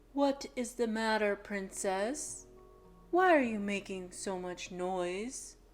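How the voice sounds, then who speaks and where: Over faint music in the background, a woman does a put-on character voice at a medium pitch and a very slow pace. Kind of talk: bedtime story. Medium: read story.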